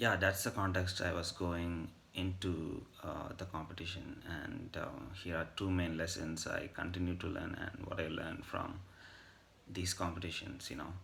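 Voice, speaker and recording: A man's very deep, low voice, fairly even in intonation, at a moderate pace with audible room echo. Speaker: vlogger. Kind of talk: casual monologue. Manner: hesitant with fillers.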